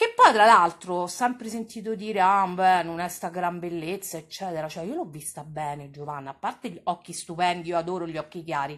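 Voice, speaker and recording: With hardly any pauses, a woman speaks at a fairly quick pace in an animated tone, her fairly low pitch showing ordinary variation and her loudness swinging widely. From Rome. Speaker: online streamer and TV gossip commentator. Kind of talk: casual live-stream chat.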